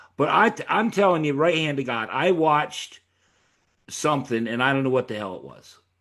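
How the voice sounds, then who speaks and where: On a very clean recording with a silent background, a man with an unremarkable speaking voice talks at a fairly high pitch and a fairly quick pace with lively intonation. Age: 60s. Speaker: podcast host. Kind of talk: casual chat.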